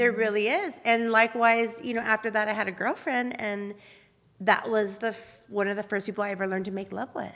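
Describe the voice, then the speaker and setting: A woman speaks very fast at a fairly high pitch. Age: 40s. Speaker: podcast host and adult film performer. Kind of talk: casual chat. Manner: animated.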